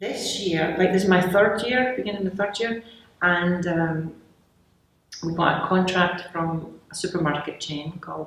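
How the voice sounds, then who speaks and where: A woman with a Scottish accent speaks at a fairly low pitch. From Glasgow, Scotland. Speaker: candy company founder. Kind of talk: interview answer.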